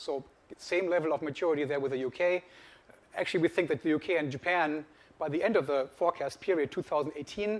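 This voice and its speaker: A man with a German accent talks at a very fast pace and a fairly high pitch. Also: ordinary pitch variation. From Germany. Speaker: industry research analyst. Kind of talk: conference presentation.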